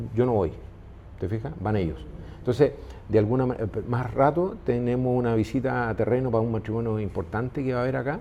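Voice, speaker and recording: Over noticeable background noise, a man with a medium pitch speaks at a fairly quick pace with ordinary pitch variation and long, frequent pauses. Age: 60s. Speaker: business owner. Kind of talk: interview conversation. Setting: restaurant. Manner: halting, many fillers.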